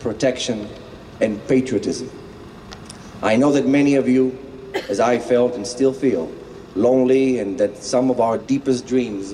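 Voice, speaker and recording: Speaking with a non-native accent at a moderate pace, the voice keeps fairly even intonation and leaves long, frequent pauses. Noticeable background noise can be heard. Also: man. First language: not English. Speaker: motivational speaker. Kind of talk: rally speech.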